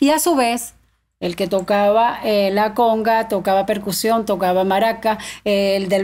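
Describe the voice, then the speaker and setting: A woman with an Andean Venezuelan accent. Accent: Andean Venezuelan, milder than Táchira. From Venezuelan Andes, Mérida state (Tovar); Mérida state, Venezuela. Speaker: llanera folk singer; guest. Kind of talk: podcast interview. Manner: animated. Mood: lively, storytelling, animated. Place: studio. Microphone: studio mic.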